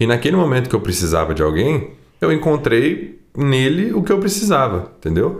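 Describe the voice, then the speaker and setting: A man's voice carries vocal fry and very wide pitch swings at a very even loudness. Audible room echo surrounds him. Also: medium pitch for a man, moderate pace. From Brazil, Poços de Caldas. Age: 20s. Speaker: sertanejo singer. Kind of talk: casual chat.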